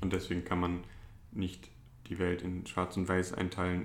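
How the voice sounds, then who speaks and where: The man's very deep, low voice comes through at a moderate pace. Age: 20s. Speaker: psychology student and drug clinic worker. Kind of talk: interview.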